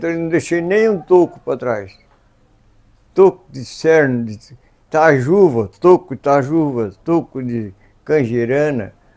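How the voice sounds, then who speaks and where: A man speaks very slowly, with long, frequent pauses and big swings in loudness. His pitch is fairly high, his tone dark and mellow, and his intonation lively. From southern Brazil, Santa Catarina. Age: 80s+. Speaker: farmer. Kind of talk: interview answer.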